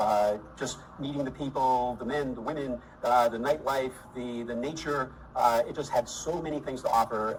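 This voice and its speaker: With an American accent, a man speaks at medium pitch and a moderate pace, his intonation fairly even amid noticeable background noise. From US Northeast, Boston. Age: 60s. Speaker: retiree interviewee. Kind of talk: interview. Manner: hesitant with fillers.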